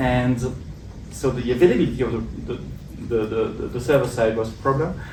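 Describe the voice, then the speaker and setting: A man speaks in a medium pitch with a slight French accent, at a moderate pace and with ordinary pitch variation. Audible room echo and noticeable background noise are present. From Belgium. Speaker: tech conference speaker. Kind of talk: tech talk. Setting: meetup stage with audience.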